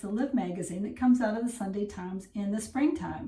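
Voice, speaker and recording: Over noticeable background noise and audible room echo, a woman with an American accent and a fairly high pitch talks in an animated tone with ordinary pitch variation. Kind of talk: casual vlog narration.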